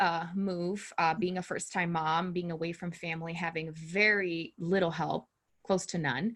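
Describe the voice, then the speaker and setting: A woman with a Portuguese accent speaks at a fairly low pitch with fairly even intonation. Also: quiet background. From Brazil. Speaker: empowerment coach and court interpreter. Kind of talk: interview.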